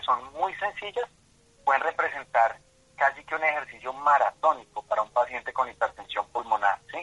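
The tone is bright and sharp, with ordinary pitch variation at a moderate pace. The sound is dry and close, with no echo. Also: man. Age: 30s. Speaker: patient advocate. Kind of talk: radio interview. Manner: halting, many fillers.

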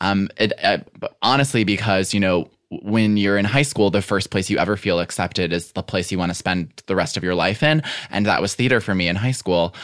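In a very clean recording with a silent background, a man with an American accent and a plain, everyday voice speaks at a fairly quick pace, with a fairly low pitch and ordinary pitch variation. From US Midwest, Chicago area. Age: 20s. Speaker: writer and podcaster. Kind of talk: casual chat.

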